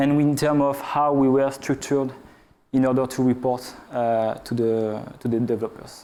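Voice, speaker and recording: A man speaks in a French accent with a dark, mellow tone and monotone, flat intonation. His pace is moderate, and audible room echo fills the recording. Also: medium pitch for a man. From France. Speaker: game analytics researcher. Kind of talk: conference talk. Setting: stage with audience. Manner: hesitant, many filler uhs.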